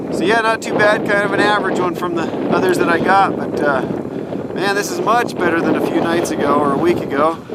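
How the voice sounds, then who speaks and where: Audible room echo and noticeable background noise around speech at a fairly quick pace. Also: man, high pitch for a man, ordinary pitch variation. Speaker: outdoor video host. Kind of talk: on-location commentary. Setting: outdoors on frozen reservoir. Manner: yelling over wind.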